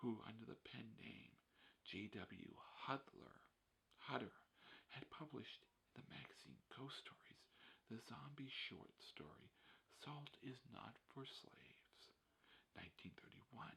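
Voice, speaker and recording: A soft-spoken man talks at a fairly slow pace, with long, frequent pauses and lively intonation. His tone is bright, sharp and soothing, with vocal fry. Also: medium pitch for a man. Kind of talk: ASMR reading of an essay. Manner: whispered; soft-spoken, soothing.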